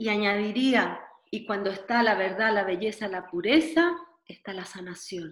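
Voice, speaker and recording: Speaking fairly slowly at a medium pitch, a woman uses lively intonation and big swings in loudness. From Chile (Santiago). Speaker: dancer and dance therapist. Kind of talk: interview conversation. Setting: video call.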